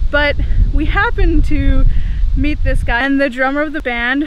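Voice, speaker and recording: A woman at a moderate pace, fairly even in intonation, in a dry sound with no echo. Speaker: travel vlogger. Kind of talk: casual vlog chat. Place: open country. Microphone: phone near.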